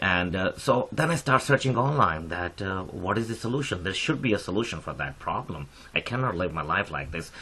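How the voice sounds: Low-pitched for a man, his bright, sharp tone moves at a fairly quick pace with lively intonation. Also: few pauses.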